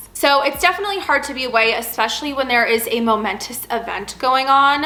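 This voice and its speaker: Ordinary pitch variation in a woman's high voice, noticeable background noise behind her. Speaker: flight attendant vlogger. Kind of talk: casual Q&A vlog. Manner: fast.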